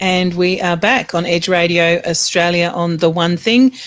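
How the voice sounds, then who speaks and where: In a plain, everyday voice, a woman speaks at a moderate pace and a fairly low pitch. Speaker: radio interviewer.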